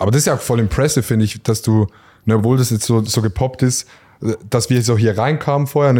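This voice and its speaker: A man talks at a very fast pace at a medium pitch, his tone dark and mellow with fairly even intonation. The recording is very clean with a silent background. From rural Switzerland. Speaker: podcast host. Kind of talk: casual chat. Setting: barber shop.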